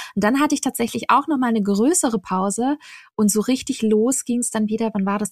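Recorded dry and close with no echo, a woman speaks in a fairly high, somewhat breathy voice with ordinary pitch variation. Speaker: travel blogger and podcaster. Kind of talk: casual chat.

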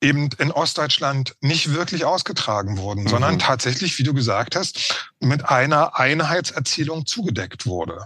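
With lively intonation and a bright, sharp tone, a man talks at a moderate pace in a fairly high pitch. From East Berlin, former GDR. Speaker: historian of migration. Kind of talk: interview conversation.

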